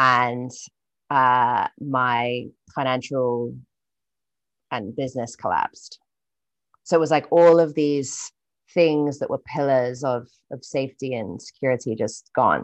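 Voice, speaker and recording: A woman with a British accent speaks with a very deep, low pitch and ordinary pitch variation. Her delivery is fairly slow, with long, frequent pauses, against a quiet background. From UK. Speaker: entrepreneur and writer. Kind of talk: casual interview. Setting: video call.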